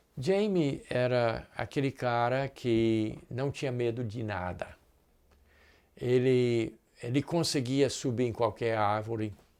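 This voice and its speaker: Speaking very slowly, a man holds a mid-range pitch that varies in an ordinary way. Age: 70s. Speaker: pastor. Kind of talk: sermon. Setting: recorded online church service.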